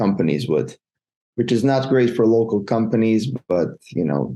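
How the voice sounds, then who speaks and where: A man with a Montenegrin accent speaks at a moderate pace in a dark, mellow tone against a quiet background. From Montenegro. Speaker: freelance web developer. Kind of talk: interview. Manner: halting, repeats words.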